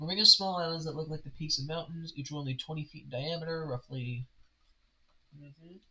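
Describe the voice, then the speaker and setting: Showing big swings in loudness, a man with an American accent speaks at a fairly high pitch. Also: fairly quick pace. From United States. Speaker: game master streaming campaign prep. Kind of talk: casual live stream thinking aloud. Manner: halting, self-interrupting.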